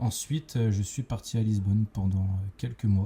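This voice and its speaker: A man speaks in a dark, mellow, somewhat breathy tone at a fairly low pitch. His pace is moderate and his intonation fairly even. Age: 20s. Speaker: entrepreneur, podcast co-host. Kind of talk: casual chat. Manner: hesitant, many fillers.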